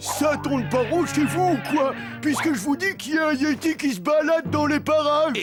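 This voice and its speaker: Cartoonish character voice at a moderate pace over clear music in the background. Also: man. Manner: shifty, fawning to boss.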